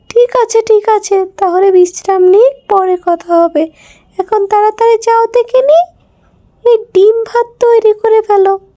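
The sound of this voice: Doing a cartoonish character voice at an extremely high pitch, a woman speaks at a moderate pace with fairly even intonation, the sound dry and close with no echo.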